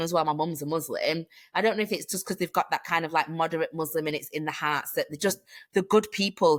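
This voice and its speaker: A woman talks very fast with a British accent. Her pitch is fairly low and varies an ordinary amount. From Manchester, England. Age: 30s. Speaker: hiking community founder. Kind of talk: casual interview chat. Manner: animated.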